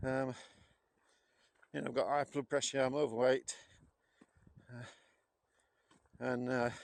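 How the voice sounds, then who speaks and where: In a Yorkshire accent, a man speaks at a moderate pace and medium pitch, his monotone, flat intonation broken by long, frequent pauses. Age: 60s. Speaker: walking vlogger. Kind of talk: casual vlog narration. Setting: outdoors. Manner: hesitant, many fillers.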